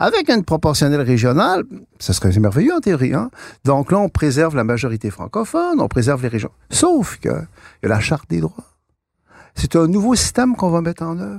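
Delivery moves at a fairly quick pace. Pitch swings are very wide. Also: man, fairly high pitch for a man. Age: 60s. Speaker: author and political thinker. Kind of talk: interview. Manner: halting, many repeated words.

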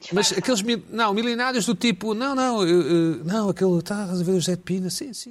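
The man speaks in a high pitch and an animated tone, with ordinary pitch variation. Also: moderate pace. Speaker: talk show host. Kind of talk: comedy panel chat. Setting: video call.

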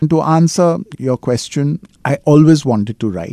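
A man speaks at a moderate pace with lively intonation and a dark, mellow tone, in a dry, close sound with no echo on a very clean recording with a silent background. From India, Mumbai. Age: 50s. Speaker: author and filmmaker. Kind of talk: interview.

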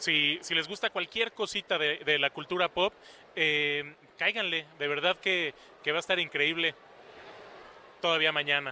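A man talks at a fairly slow pace with long, frequent pauses. His pitch is fairly high, his intonation fairly even and his loudness very even. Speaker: event organizer. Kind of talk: casual interview chat. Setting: convention floor. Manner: halting.

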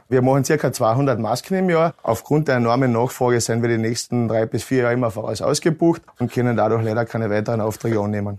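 Over a quiet background, a man uses a plain, everyday voice at medium pitch, with ordinary pitch variation and a fairly quick pace. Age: 30s. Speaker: wood carver, mask maker. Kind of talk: interview.

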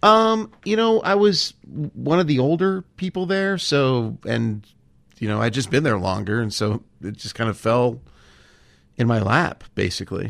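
With a Californian accent, the speaker goes at a fairly slow pace while the pitch swings very widely. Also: man, medium pitch for a man. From Southern California (Los Angeles). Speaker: comedy writer and actor. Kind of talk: casual interview chat.

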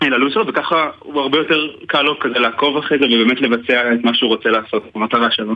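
With hardly any pauses, a man speaks at a very fast pace in a medium pitch, his loudness very even and his intonation fairly even. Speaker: soldier and app developer. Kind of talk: radio interview. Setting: phone call.

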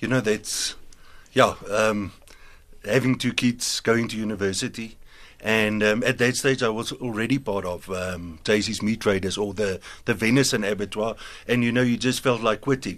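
At a moderate pace and with fairly even intonation, an ordinary speaking voice comes through in a very clean recording with a silent background. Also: man, fairly low pitch for a man. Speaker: biltong company co-founder. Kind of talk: radio business interview. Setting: studio.

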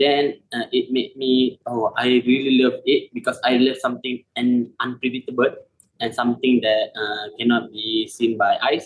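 At a moderate pace, a man talks at a medium pitch with little pitch movement.

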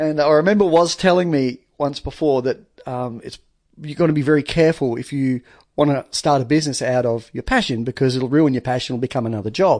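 Fairly quick speech from a man at a fairly high pitch, with ordinary pitch variation and a quiet background. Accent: Australian. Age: 40s. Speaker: painter and trade business owner. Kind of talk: casual chat. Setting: studio.

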